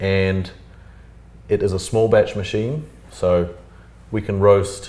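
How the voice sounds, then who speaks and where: A man with a New Zealand accent has a dark, mellow, somewhat breathy voice at a fairly low pitch. His intonation is fairly even, and audible room echo surrounds him. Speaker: coffee roaster, business owner. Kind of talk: interview.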